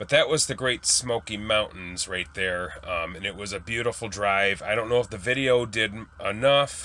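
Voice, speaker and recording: A man with a bright, sharp tone talks at a moderate pace, his pitch varying in an ordinary way. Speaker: travel vlogger. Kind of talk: casual vlog chat. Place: home room. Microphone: phone near.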